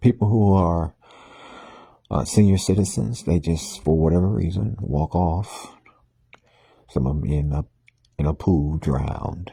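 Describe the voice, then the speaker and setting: Soft-spoken and somewhat breathy, a man with a very deep, low pitch and a dark, mellow tone talks at a fairly slow pace with ordinary pitch variation and long, frequent pauses. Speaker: minister sharing morning reflections. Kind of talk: informal talk monologue. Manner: soft, laid back; halting with fillers.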